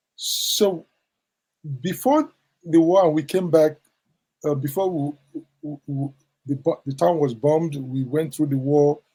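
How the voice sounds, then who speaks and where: The voice moves at a very slow pace with long, frequent pauses. Its tone is dark, mellow and somewhat breathy, with fairly even intonation. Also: man, fairly high pitch for a man. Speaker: professor of social ethics. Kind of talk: interview answer.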